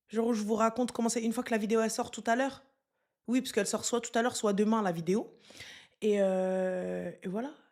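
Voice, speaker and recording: Loud and animated in tone, a woman talks at a fairly quick pace with ordinary pitch variation. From Moroccan and Senegalese heritage. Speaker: streamer. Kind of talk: live stream chat, reading viewer comments. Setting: live stream.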